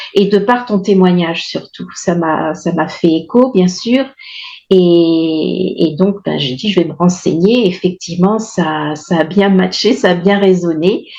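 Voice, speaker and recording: A woman speaks very slowly at a fairly low pitch with ordinary pitch variation. Her tone is dark and mellow. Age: 60s. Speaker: testimonial client of a nutrition program. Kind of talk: testimony. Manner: halting, many hesitations.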